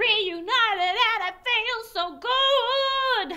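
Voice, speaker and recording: Over faint music in the background, a woman speaks in a raised, projected voice. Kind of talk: confessional interview to camera. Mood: upbeat, cheerful. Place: garden.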